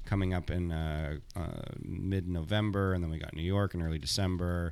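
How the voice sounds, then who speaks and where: In a Toronto accent, a man speaks at a moderate pace on a very clean recording with a silent background. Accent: Canadian (Toronto area). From Canada, Thornhill near Toronto. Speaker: comedian. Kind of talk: casual chat.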